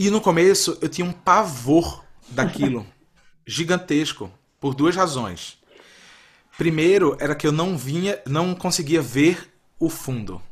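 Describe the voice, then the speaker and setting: A man with a fairly high pitch talks at a fairly slow pace, with lively intonation and vocal fry. He leaves long, frequent pauses. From Brazil, Recife (Pernambuco). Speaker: astrology podcast guest, father. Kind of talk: casual chat.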